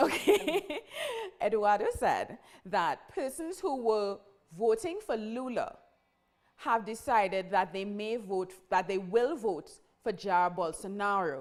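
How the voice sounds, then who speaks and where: A woman speaks very slowly at a fairly high pitch, with lively intonation. The recording is very clean, with a silent background. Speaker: news program host. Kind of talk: live interview. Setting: studio.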